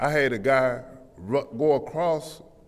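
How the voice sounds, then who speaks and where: A man with an American accent talks with ordinary pitch variation, and audible room echo surrounds his voice. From Flint, Michigan. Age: 60s. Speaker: public commenter. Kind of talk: public comment at council meeting. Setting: city council chamber. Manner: animated.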